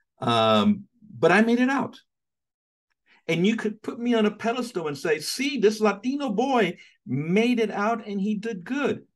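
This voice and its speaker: A man with an American accent speaks at a very slow pace against a quiet background. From New York City (Hell's Kitchen, Manhattan); New York. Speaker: theologian; guest lecturer. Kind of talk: lecture. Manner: halting with fillers. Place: office. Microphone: webcam.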